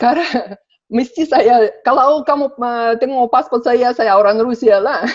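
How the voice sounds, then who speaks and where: A woman with a high pitch and lively intonation talks at a very slow pace, her loudness very even. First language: Russian (speaking Indonesian). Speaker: interview guest. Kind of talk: casual interview. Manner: halting, many fillers.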